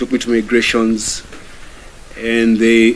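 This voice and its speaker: Through noticeable background noise comes a man's medium-pitched voice. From Kenya. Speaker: activist. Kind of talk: testimony speech to audience.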